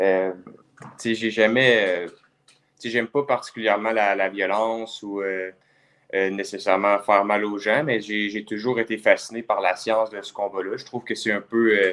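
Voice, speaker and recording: Monotone and flat, a man speaks at a moderate pace in a fairly low voice, with big swings in loudness. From Quebec (Lévis). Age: 20s. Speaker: kickboxer. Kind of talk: casual interview. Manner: hesitant, many fillers.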